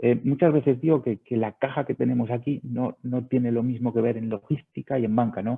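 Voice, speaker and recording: Moderate pace and ordinary pitch variation from a man with a medium-pitched voice. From Spain. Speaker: sales director of a video surveillance company. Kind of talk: webinar presentation. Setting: online webinar.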